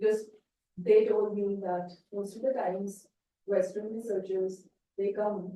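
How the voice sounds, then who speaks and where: A woman speaks in a dark, mellow tone. Her pace is fairly slow. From India. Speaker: conservation researcher. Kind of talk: Q&A after a talk. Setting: talk night with audience.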